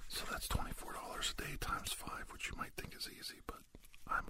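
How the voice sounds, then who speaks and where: A man whispering at a moderate pace, with noticeable background noise. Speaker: ASMR conversationalist. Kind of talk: ASMR roleplay. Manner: soft-spoken.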